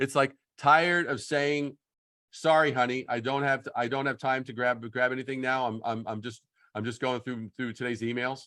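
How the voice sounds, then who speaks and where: An American-accented man at medium pitch, bright and sharp in tone, with fairly even intonation and a moderate pace. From New York. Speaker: branding consultant. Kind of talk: workshop critique on a video call. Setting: video call.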